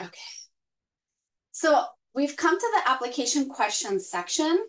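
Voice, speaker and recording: A woman in a Spanish accent speaks at a high pitch with very wide pitch swings. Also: moderate pace. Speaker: arts grant program staff. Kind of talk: informational webinar presentation. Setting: online webinar. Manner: hesitant, many fillers.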